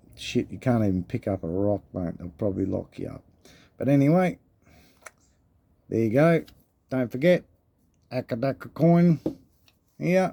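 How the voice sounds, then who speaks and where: Using an Australian accent, a man with a dark, mellow tone and medium pitch moves at a moderate pace, taking long, frequent pauses and making very wide pitch swings. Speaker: coin collecting youtuber. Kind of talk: casual video vlog. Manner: casual, rambling.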